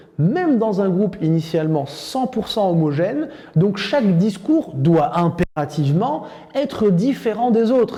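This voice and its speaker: Over noticeable background noise and audible room echo, a man talks at a fairly slow pace in a high pitch with lively intonation. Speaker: sales trainer. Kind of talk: lecture.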